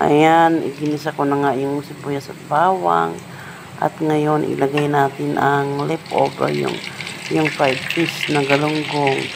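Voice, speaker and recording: A woman's very deep, low voice at a very slow pace, with ordinary pitch variation and noticeable background noise. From Bicol, Philippines. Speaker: home cooking vlogger. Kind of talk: cooking voice-over tutorial. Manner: casual, halting.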